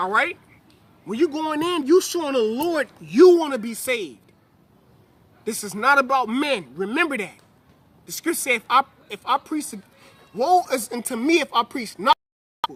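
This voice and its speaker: An animated man with an extremely high pitch talks at a moderate pace, his intonation lively. His loudness swings widely, and he takes long, frequent pauses. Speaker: religious teacher. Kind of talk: sermon.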